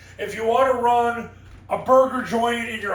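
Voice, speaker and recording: A man speaks with an extremely high pitch at a very slow pace. Audible room echo surrounds his voice. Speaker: football coaching consultant and sport psychologist. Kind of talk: motivational coaching talk.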